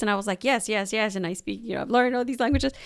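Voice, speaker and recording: A woman speaks amid noticeable background noise. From Mexico. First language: Spanish. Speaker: podcast host, cultural center director. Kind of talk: casual chat.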